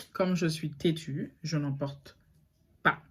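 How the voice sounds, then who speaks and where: A very clean recording with a silent background, and ordinary pitch variation in the voice. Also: woman. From Saint Martin (French side), Caribbean. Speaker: online boutique owner and YouTuber. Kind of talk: casual vlog story time. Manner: fast, not clearly articulated; hesitant, many filler sounds.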